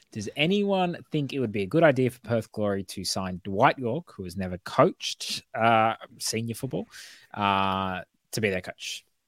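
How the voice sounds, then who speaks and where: On a very clean recording with a silent background and a dry, close sound free of echo, a man with an Australian accent speaks at a medium pitch with lively intonation. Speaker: football podcast host. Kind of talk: casual chat.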